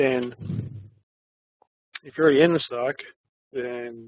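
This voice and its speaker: Flat, monotone delivery from a man at medium pitch. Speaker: stock trading commentator. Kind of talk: market review tutorial.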